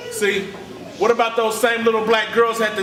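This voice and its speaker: An animated man with a high pitch, in a room with audible echo. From Richmond, California. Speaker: spoken word poet. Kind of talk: spoken word poetry performance.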